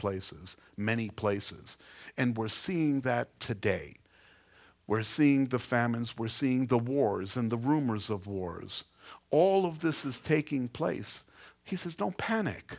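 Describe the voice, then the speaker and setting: This man has a New York accent and a medium pitch. He talks at a fairly slow pace with lively intonation. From New York City (Queens). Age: 50s. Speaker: pastor. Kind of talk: sermon.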